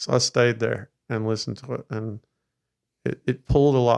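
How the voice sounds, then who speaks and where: A man with an American accent is heard in a dry, close recording with no echo. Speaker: bass player. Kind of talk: casual chat. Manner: halting.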